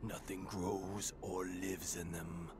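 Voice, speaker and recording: Through loud background noise, a man does a put-on character voice, very deep and low, at a fairly slow pace. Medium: video game. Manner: gloomy, resigned.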